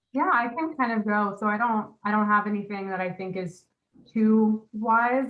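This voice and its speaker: Over music in the background, a woman speaks at a moderate pace with a fairly high pitch and ordinary pitch variation. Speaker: nutrition professional, business owner. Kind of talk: panel discussion. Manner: loud when passionate.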